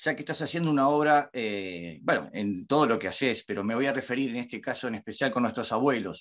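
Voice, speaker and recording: Against a quiet background, a man talks at a fairly quick pace and a medium pitch, his pitch swinging very widely. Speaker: interviewer. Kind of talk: interview questions.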